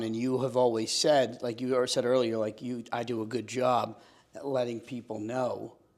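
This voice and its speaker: The man's voice sits at a medium pitch, with fairly even intonation and a moderate pace. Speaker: real estate agent and podcast host. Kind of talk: casual interview conversation. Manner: loud, assertive.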